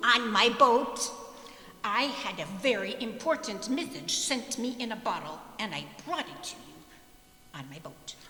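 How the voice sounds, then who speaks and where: In a put-on character voice that sounds female, someone speaks at a fairly high pitch and moderate pace with long, frequent pauses and a clear echo. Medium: stage play. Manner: slow, simple, earnest.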